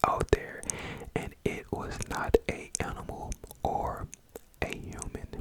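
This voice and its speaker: The speaker is whispering. Noticeable background noise sits behind the voice. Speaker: ASMR creator. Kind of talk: ASMR scary story reading. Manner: whispered.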